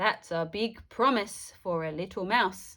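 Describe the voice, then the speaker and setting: Using a put-on character voice that is growling, a woman at medium pitch speaks at a fairly slow pace in a very clean recording with a silent background. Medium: read story.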